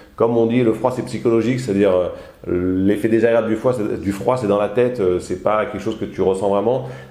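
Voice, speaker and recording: Audible room echo surrounds a man speaking at a fairly quick pace, his fairly low pitch showing ordinary variation. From southern France, Alpes-de-Haute-Provence. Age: 40s. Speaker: hotel owner and trekking guide. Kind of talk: casual interview. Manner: hesitant, many fillers.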